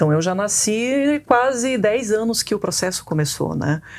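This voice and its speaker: Her intonation lively, a woman speaks. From Brazil, Paraná. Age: 40s. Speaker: biologist; guest. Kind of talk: interview. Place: studio. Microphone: lapel.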